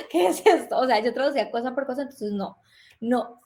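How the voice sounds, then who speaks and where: High-pitched female voice in a Colombian accent, with ordinary pitch variation, on a very clean recording with a silent background. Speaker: relocation consultant. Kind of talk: interview.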